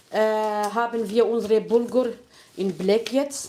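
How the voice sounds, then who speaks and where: Speaking fairly slowly, a woman uses a fairly high pitch. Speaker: home cook, channel host. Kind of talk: casual chat while cooking. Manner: halting.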